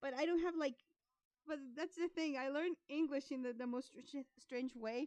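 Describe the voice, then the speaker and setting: With a Spanish accent, a woman talks at a moderate pace and a high pitch, the sound dry and close with no echo. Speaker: art streamer. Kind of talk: casual live stream chat. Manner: halting.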